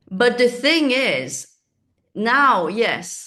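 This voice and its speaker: Bright, sharp-toned woman against a quiet background. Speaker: manifesting coach. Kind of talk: spiritual teaching monologue. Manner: calm.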